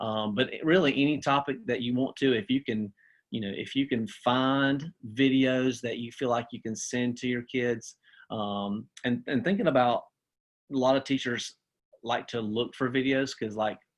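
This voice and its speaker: A man at medium pitch with a Southern US accent, ordinary pitch variation and a moderate pace against a quiet background. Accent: country-sounding Southern US. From US South. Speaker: teacher and assistant principal. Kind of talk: webinar presentation. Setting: video call. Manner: casual, with many fillers and restarts.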